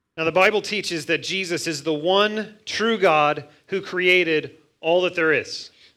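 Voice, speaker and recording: Here a man talks at a very slow pace. His high voice has a bright, sharp tone. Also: fairly even intonation, very clean recording, silent background. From US Midwest, Missouri. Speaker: pastor. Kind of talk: sermon. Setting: church.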